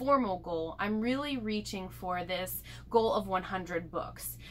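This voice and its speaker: Speaking fairly slowly, a woman lets her pitch vary in an ordinary way. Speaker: vlogger. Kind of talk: casual vlog chat. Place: home room.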